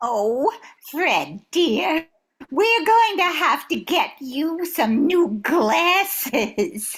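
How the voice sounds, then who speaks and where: Using a put-on character voice, a woman speaks extremely high and very slowly, with very wide pitch swings and very even loudness. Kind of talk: 1940s radio comedy acting. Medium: audio drama. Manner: gushing, excitable.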